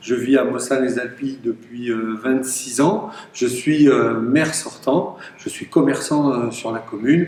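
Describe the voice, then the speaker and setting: With audible room echo and noticeable background noise, a man speaks at a medium pitch and a fairly slow pace, using ordinary pitch variation. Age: 60s. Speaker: mayor and election candidate. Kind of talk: campaign speech. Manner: hesitant, many filler sounds.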